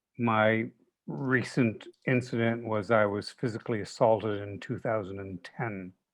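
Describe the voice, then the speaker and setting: Speaking at a fairly slow pace, a man has an unremarkable speaking voice at medium pitch with fairly even intonation. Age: 60s. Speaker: therapist asking a question. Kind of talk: Q&A question in webinar.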